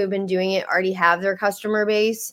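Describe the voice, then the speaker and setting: A woman speaks with an American accent at medium pitch. The recording is very clean, with a silent background. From Texas. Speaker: magazine founder and publisher. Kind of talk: interview. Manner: hesitant, many fillers.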